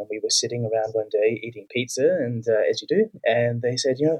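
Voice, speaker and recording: In a dry, close sound with no echo, a man speaks at a moderate pace with a New Zealand accent. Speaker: author and migration researcher. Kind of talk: interview.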